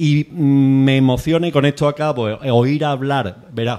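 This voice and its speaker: Ordinary pitch variation runs through a voice whose tone is dark and mellow. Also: man. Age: 60s. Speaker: audience member. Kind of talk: audience comment at book talk. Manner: halting.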